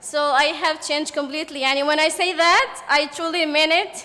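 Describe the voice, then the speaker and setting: Raising and projecting her voice, a woman with a Yemeni accent and a high pitch speaks at a fairly slow pace with fairly even intonation over noticeable background noise. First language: Arabic. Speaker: journalist and podcaster. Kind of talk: panel testimony. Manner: halting.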